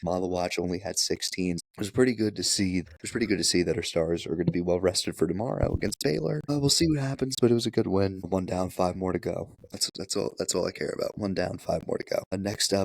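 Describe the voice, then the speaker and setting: With a very deep, low pitch and ordinary pitch variation, a man talks at a very fast pace with hardly any pauses. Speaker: sports podcast co-host. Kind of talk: casual chat. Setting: podcast recorded at home, lying on couch. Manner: animated.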